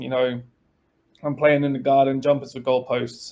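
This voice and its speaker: Speaking at a moderate pace, a man with an English accent has a fairly high pitch. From England, Spalding and London. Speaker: college soccer assistant coach. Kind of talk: podcast interview.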